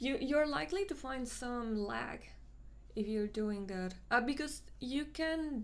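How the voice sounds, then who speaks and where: A woman talks in a Mexican accent at a fairly slow pace. Her pitch varies in an ordinary way. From Mexico City, Mexico; Mexico. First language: Spanish. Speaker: 3D sculpting artist and live streamer; live streamer. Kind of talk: casual live stream chat and tutorial. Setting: live stream. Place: home room.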